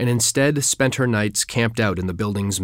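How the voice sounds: This is a natural reading voice. Pitch variation is ordinary.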